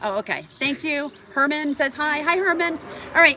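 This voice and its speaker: A woman speaks at a fairly quick pace in a raised, projected voice with very wide pitch swings. Noticeable background noise can be heard. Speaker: travel vlogger. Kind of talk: live stream chat. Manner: fast; excitable.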